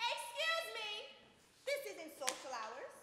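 A woman does a put-on character voice that is squeaky and at an extremely high pitch, with very wide pitch swings. She speaks at a fairly slow pace, and there is a clear echo. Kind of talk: theatrical dialogue. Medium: stage play. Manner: sharp, sassy. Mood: bossy, scolding.

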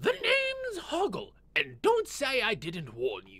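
A put-on character voice sits at a high pitch. The pace is fairly slow. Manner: gruff, warning, grumpy.

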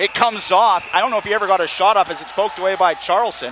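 Over crowd noise in the background, a man with a high pitch speaks in an excited tone at a fairly quick pace, with ordinary pitch variation. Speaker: hockey play-by-play announcer. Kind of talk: live hockey play-by-play commentary. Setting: arena broadcast booth. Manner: rapid-fire, staccato calls building to excited goal shouts; relaxed, chatty asides to co-commentator between plays.

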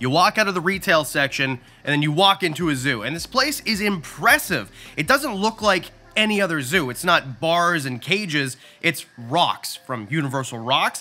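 A man talks at a moderate pace while music plays faintly behind him. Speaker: reptile youtuber. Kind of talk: casual vlog tour commentary. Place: shop. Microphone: phone near.

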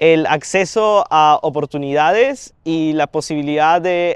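A man speaks with a Peruvian accent. His pitch is fairly high, with ordinary variation. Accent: Peruvian Spanish (Lima). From Peru, Lima. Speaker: university student. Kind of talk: interview Q&A. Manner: hesitant fillers.

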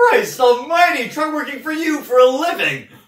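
The voice moves at a fairly slow pace, with audible room echo over a quiet background. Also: man. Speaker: actor performing a monologue. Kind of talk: dramatic acting monologue. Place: empty room.

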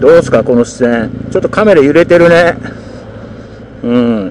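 Speech comes at a fairly quick pace with a dry sound, no echo and light background noise. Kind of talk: casual vlog chat. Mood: relaxed, joking. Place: motorbike.

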